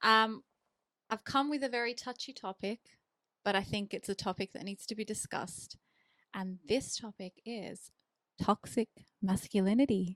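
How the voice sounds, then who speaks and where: Woman's fairly high voice with an Australian accent, moderate pace, long, frequent pauses, ordinary pitch variation and big swings in loudness, with a dry, close sound and no echo. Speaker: charity admin worker and podcast guest. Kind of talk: casual chat.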